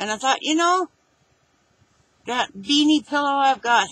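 Speaking at a moderate pace, a woman with a high voice uses ordinary pitch variation in a dry recording with no echo. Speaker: home vlogger. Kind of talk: casual talk to camera, showing and describing thrift finds. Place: home room. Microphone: webcam.

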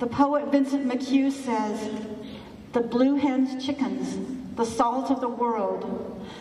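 A woman speaks at a very slow pace with a high pitch and monotone, flat intonation. Audible room echo and light background noise surround her voice. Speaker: minister. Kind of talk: funeral service. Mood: solemn, grieving. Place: hall.

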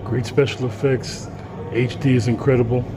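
Background noise is clearly audible. The voice belongs to a man. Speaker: movie reviewer vlogger. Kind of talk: casual vlog chat. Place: hall. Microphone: phone near.

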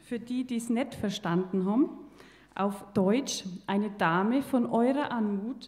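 At a fairly slow pace, a woman with a medium pitch speaks using lively intonation. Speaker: poetry slam performer. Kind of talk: poetry slam performance. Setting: live stage with audience. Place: stage. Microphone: handheld.

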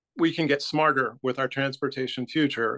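Against a quiet background, the speaker talks with an American accent in a bright, sharp tone. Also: man. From Texas, Houston. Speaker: volunteer writing trainer; volunteer trainer. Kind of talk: training presentation. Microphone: video call.

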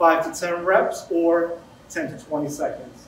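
A man's high-pitched voice with audible room echo and light background noise. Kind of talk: tutorial. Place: gym. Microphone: camera far.

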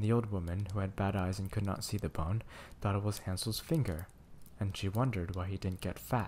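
Read aloud in a natural voice, the passage has fairly even intonation.

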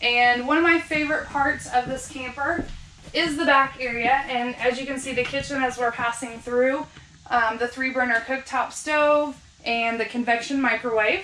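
With audible room echo and light background noise, a woman uses a raised, projected voice at a moderate pace and with fairly even intonation. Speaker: camper sales guide. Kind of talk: product walk-through tour. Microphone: camera far.

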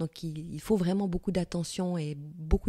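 A woman's somewhat breathy, dark, mellow voice with a slight Fribourg accent at a fairly slow pace, in a dry, close sound with no echo on a very clean recording with a silent background. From Switzerland, canton of Fribourg (Gruyère). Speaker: novelist. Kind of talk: interview. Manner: hesitant, many repetitions.

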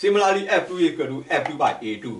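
Moderately paced male speech with a light layer of background noise. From Myanmar. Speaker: engineering lecturer. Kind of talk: lecture. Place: home room. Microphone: camera far.

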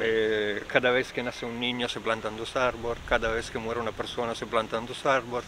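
A man talks at a fairly quick pace with hardly any pauses and monotone, flat intonation, dry with no echo, over noticeable background noise. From northern Italy, Trento province Alps; Trentino, Italy. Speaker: local resident; interviewee. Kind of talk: interview. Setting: outdoors. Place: open country.

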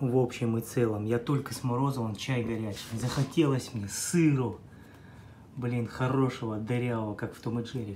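A man with fairly even intonation keeps a moderate pace while light background noise plays behind him. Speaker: food vlogger. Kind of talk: casual vlog chat. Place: kitchen. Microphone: phone near.

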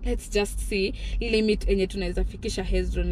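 A woman speaks at a moderate pace, the sound dry with no echo and a little background noise behind her. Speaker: vlogger. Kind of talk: casual vlog chat. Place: car. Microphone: phone near.

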